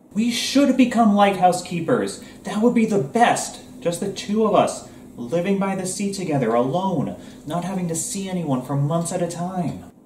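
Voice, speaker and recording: Over light background noise and audible room echo, a man speaks at a high pitch and a moderate pace. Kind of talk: comedic sketch dialogue. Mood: playful, grumpy misanthropic humor.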